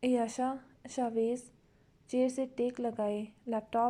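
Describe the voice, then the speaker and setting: A woman's high-pitched voice, dark and mellow in tone, in a flat monotone. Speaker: novel writer and reader. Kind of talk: reading aloud; casual chat to viewers.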